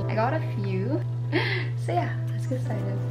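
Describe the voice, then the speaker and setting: Loud background noise surrounds a woman who talks at a fairly slow pace. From Manila, Philippines. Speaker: vlogger. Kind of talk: casual talk to camera. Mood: cheerful, relaxed. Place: home room.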